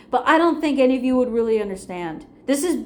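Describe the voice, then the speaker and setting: A woman with ordinary pitch variation amid audible room echo. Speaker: vlogger. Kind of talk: personal vlog monologue. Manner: slight stutter.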